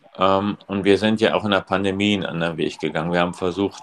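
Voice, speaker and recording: This man talks in a very deep, low voice with a monotone, flat intonation. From East Germany. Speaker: school principal. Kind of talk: casual chat.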